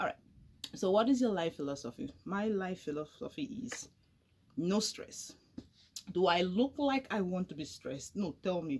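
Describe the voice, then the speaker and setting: With an animated tone and very wide pitch swings, a woman at medium pitch speaks somewhat breathily at a moderate pace, leaving long, frequent pauses. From Nigeria, Delta State, Warri. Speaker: YouTuber. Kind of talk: casual chat. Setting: drinking with a friend at home.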